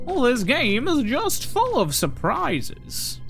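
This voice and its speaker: Clear music plays behind a man doing a put-on character voice at an extremely high pitch and a fairly slow pace. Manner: goofy, exaggerated.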